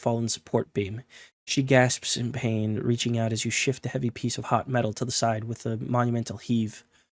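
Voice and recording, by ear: Here someone reads aloud in a natural voice.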